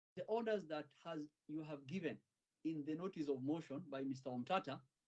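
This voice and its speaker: This man has an ordinary speaking voice, pitched fairly high, with ordinary pitch variation and a fairly quick pace. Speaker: lawyer. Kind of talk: courtroom legal submission. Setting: courtroom. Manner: formal.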